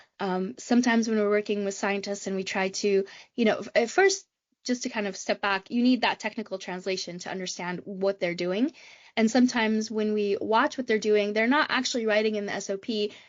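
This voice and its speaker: Her pitch is fairly high for a woman, her intonation fairly even. The woman keeps a fairly quick pace. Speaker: head of lab automation and robotics. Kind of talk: podcast interview. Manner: fast.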